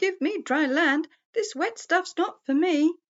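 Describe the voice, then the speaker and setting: In a put-on, squeaky character voice, a woman goes extremely high in pitch. Her delivery is fairly slow. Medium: read story.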